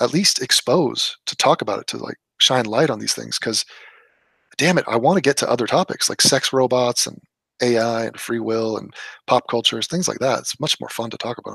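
Recorded with a dry, close sound and no echo, a man with a Californian accent talks at a fairly quick pace in a medium pitch with ordinary pitch variation. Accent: Californian American English. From US West Coast (Los Angeles). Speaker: political commentator. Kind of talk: casual political discussion. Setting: remote call on live stream.

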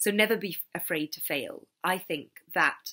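A woman speaks in a bright, sharp tone with ordinary pitch variation. The background is quiet. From Scotland. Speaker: children's author. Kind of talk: school talk to children. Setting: recorded online event. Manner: animated. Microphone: webcam.

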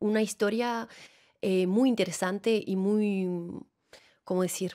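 Woman with a fairly high pitch in a Venezuelan accent. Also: quiet background. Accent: Latin American Spanish, Venezuelan-tinged. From France, Alps near Annecy; France. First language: French (speaking Spanish). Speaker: actress and theatre director; actress. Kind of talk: interview. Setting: studio. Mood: warm, smiling, animated. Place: studio. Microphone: studio mic.

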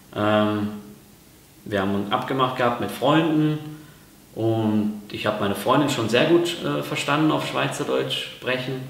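Long, frequent pauses break up a man's fairly slow speech at a medium pitch. His pitch swings very widely, and the room echo is audible. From Ruhr area, Germany; Germany. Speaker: YouTuber. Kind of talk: vlog explainer. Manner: hesitant, many fillers. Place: kitchen.

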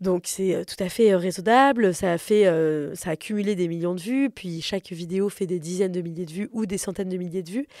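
A woman talks at a moderate pace with a medium pitch, ordinary pitch variation and a dark, mellow tone. There are hardly any pauses, and the recording is very clean with a silent background. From France, Paris. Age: 30s. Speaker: comedian. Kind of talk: casual interview.

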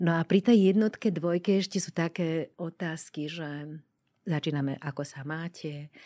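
A woman's dark, mellow tone with ordinary pitch variation and big swings in loudness. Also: fairly low pitch for a woman, moderate pace, dry, close sound with no echo, very clean recording, silent background. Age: 60s. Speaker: end-of-life doula. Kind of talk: interview.

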